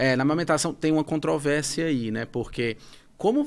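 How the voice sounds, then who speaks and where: Speech comes at a fairly quick speed. The rise and fall of pitch is ordinary. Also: man. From Brazil. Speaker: psychiatrist; guest. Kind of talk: interview. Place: studio. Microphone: studio mic.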